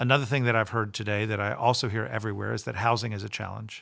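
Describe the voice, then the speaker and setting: Recorded very cleanly against a silent background, a man with an American accent talks at a fairly quick pace, fairly low in pitch with vocal fry. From Florida, Tampa. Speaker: central bank president. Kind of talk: interview. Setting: in person.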